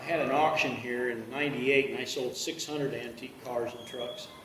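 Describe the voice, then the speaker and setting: Noticeable background noise and audible room echo surround the speech. A man with a fairly high pitch talks at a fairly quick pace with ordinary pitch variation. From South Dakota. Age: 60s. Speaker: truck collector selling his collection. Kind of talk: interview.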